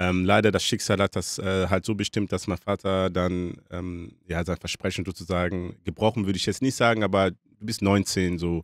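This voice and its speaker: A man's very deep, low voice, monotone and flat, at a moderate pace with hardly any pauses, in a dry, close sound with no echo. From DR Congo. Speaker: author. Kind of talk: casual interview. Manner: hesitant with many fillers.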